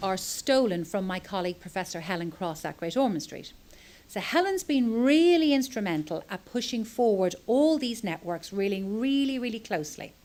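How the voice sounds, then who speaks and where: A woman with a Dublin accent, her fairly high voice swinging very widely in pitch at a moderate pace. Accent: Irish (Dublin). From Ireland, Dublin. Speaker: pediatric epilepsy doctor. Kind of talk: conference talk.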